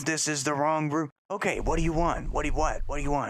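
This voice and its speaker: A man puts on a character voice, fairly high in pitch. He speaks at a very fast pace. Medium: actual play. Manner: hesitant, stammering.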